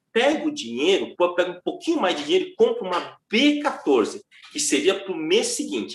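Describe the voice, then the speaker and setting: A man with an extremely high pitch speaks at a moderate pace, his voice making very wide pitch swings. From foreign-born, not Brazilian. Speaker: derivatives trader and teacher. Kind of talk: casual interview chat.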